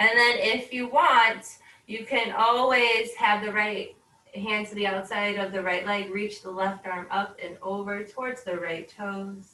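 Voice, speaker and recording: A woman speaks at a fairly slow pace in a plain, everyday voice. Her pitch is fairly high and her intonation fairly even. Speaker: yoga instructor. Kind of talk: guided yoga class. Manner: slow, calm.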